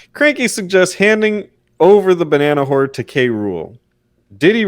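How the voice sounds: A natural reading voice with lively intonation, set against a quiet background.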